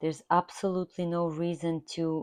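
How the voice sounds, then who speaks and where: With a non-native accent, a woman speaks at a fairly low pitch with monotone, flat intonation, against a quiet background in dry, close sound with no echo. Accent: foreign accent, kept after many years. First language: not English. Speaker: art therapy instructor. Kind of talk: tutorial.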